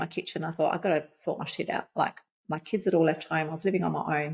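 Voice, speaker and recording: A woman with an Australian accent speaks at a fairly low pitch, her voice showing vocal fry. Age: 50s. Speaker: life coach. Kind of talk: podcast interview. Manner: animated.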